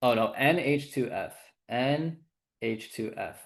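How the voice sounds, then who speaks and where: A man's speech shows ordinary pitch variation, with a quiet background behind it. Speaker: chemistry tutor. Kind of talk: livestream review lecture. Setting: live stream with chat. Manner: fast; halting, filler-heavy.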